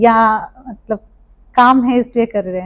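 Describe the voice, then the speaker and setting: A woman speaks with an Assamese accent at a fairly high pitch. Her intonation is monotone and flat. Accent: Assamese accent in Hindi. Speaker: podcast host. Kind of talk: podcast interview.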